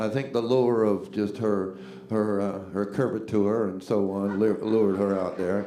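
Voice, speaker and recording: A fairly low-pitched man in a Southern US accent, fairly slow and fairly even in intonation, with noticeable background noise and audible room echo. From US South, Jacksonville Florida. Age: 60s. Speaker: singer-songwriter and bandleader. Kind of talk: stage banter between songs. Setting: live stage with audience. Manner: halting, repetitive.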